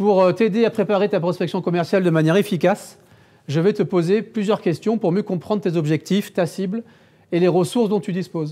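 The voice has a dark, mellow tone. It moves at a moderate pace. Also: man. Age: 50s. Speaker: digital marketing agency founder giving a talk; conference speaker. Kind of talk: conference talk. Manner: halting, many repetitions and fillers. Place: meeting room.

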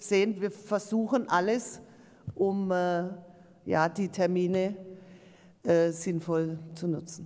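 At a very slow pace with long, frequent pauses, a woman speaks in a dark, mellow tone with fairly even intonation over a quiet background. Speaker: local council chair. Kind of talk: council meeting. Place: meeting room. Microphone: podium.

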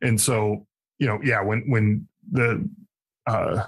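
This man has a fairly low pitch and an American accent. His intonation is fairly even, and his voice is somewhat breathy. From Connecticut. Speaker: army veteran, podcast host and author. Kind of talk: interview, personal testimony. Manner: halting, many fillers and repeated words.

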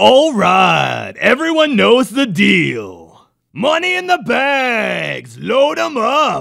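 In a cartoonish character voice, a man shouts at a very slow pace. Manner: shouting, brash.

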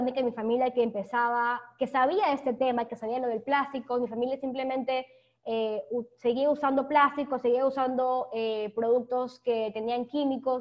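With a coastal Ecuadorian accent, a woman talks at a moderate pace in a high voice with fairly even intonation. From Guayaquil, Ecuador. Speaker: sustainability blogger and webinar speaker. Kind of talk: webinar presentation. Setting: video call.

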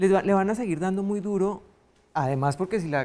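This woman talks at a medium pitch with lively intonation. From Colombia. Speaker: constitutional lawyer and political analyst; constitutional lawyer, political analyst. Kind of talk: panel discussion. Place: studio. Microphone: lapel.

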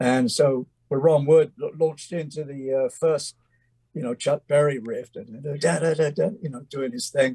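Recorded with a dry, close sound and no echo, a man with an English accent speaks at a fairly slow pace, in a fairly high, somewhat breathy voice with a dark, mellow tone. His pitch variation is ordinary, and his loudness swings widely. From England. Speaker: musician. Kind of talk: interview storytelling. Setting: video call from home studio. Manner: halting.

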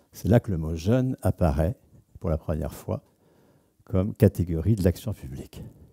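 Speaking at a moderate pace with long, frequent pauses, a man uses a very deep, low pitch and a dark, mellow tone with vocal fry and lively intonation, the sound dry with no echo and the background quiet. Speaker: sociologist; lecturer. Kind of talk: lecture. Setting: stage with audience. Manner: animated. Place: hall. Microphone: headset.

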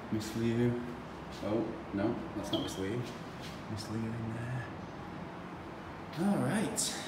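Audible room echo under loud background noise. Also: man. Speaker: teacher filming a school diary. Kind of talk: casual vlog chat. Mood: playful, joking. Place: hall.

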